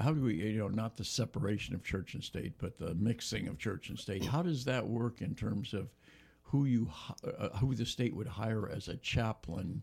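This man is somewhat breathy at a medium pitch. He keeps a moderate pace, and his pitch variation is ordinary. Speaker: radio host. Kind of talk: radio interview. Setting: studio.

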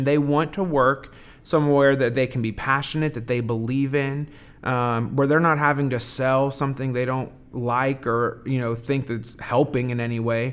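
With an American accent and an ordinary speaking voice, a man with a fairly high pitch talks at a moderate pace on a very clean recording with a silent background. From southern Indiana. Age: 20s. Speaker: hardware retail manager. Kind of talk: interview.

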